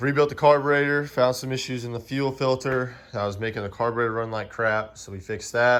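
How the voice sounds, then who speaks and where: A man with a Southern US accent talks at a fairly quick pace in a medium pitch. Room echo is audible. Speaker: amateur race car driver and YouTuber. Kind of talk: casual garage vlog. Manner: monotone.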